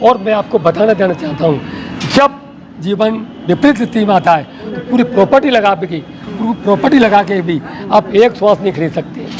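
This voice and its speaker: Through noticeable background noise, a man speaks in a high voice with lively intonation. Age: 60s. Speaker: wellness group organizer. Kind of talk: interview. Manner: emphatic.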